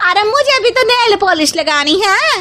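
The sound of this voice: This woman uses a cartoonish character voice pitched extremely high, with a bright, sharp tone. She talks at a fairly slow pace with lively intonation.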